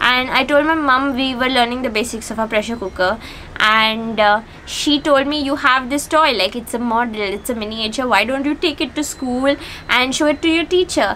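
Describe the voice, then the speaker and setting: Her voice is raised and projected, moving at a moderate pace with ordinary pitch variation. Light background noise sits behind this woman. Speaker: vlogger. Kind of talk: casual vlog chat. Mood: amused, storytelling. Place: home room.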